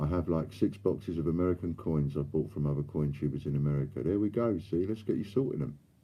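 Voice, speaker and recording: Talking at a very fast pace with hardly any pauses, a man with a London accent uses lively intonation and a very deep, low pitch. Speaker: coin dealer and live stream host. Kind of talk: live stream chat reading viewer comments. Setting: live stream.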